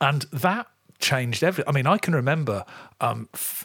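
The recording is very clean, with a silent background. A man's pitch swings very widely. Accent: English Midlands. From English Midlands, near Coventry. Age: 50s. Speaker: podcast host. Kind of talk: casual chat. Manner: halting, many fillers and restarts.

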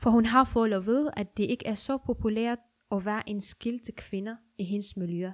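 A woman's fairly high, fairly slow voice with fairly even intonation, a normal speaking voice. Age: 20s. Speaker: activist. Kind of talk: personal essay reading.

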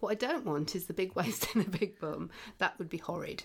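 Speaking at a fairly quick pace in an English accent, a woman has a fairly low pitch with vocal fry. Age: 50s. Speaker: podcast host. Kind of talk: casual chat; reading aloud.

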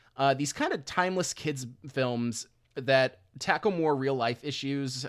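A man with an unremarkable speaking voice at a medium pitch and ordinary pitch variation, in a very clean recording with a silent background. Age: 20s. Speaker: podcast host. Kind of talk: casual chat.

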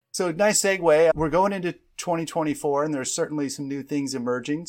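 A man with a normal speaking voice speaks at a fairly high pitch with ordinary pitch variation, in a very clean recording with a silent background. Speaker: podcast co-host and sales manager. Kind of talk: podcast interview.

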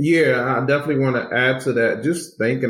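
Here a man talks at a moderate pace. His is an ordinary speaking voice with ordinary pitch variation. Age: 40s. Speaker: youth pastor and university administrator. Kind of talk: casual interview.

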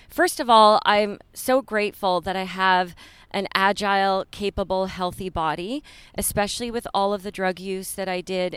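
Her pitch medium and her intonation fairly even, a woman talks in a plain, everyday voice. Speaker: yoga studio owner and teacher. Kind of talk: casual interview chat. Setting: outdoors in a park.

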